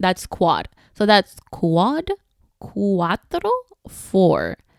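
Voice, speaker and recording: A woman with a non-native accent, in a dry, close sound with no echo. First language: Spanish. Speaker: podcast host, spinal cord injury survivor. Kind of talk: casual podcast talk. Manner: casual, many fillers.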